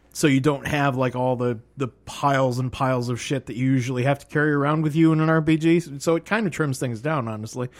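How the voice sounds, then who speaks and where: Very fast, playful male speech with hardly any pauses. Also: fairly high pitch for a man, ordinary pitch variation. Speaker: podcast host. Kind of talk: casual comedic banter, game show hosting. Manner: joking, playful, innuendo.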